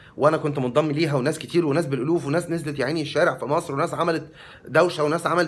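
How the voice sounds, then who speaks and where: A man talks at a very fast pace. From Egypt. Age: 40s. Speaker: vlogger. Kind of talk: monologue to camera. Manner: animated; talkative. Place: home room. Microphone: phone near.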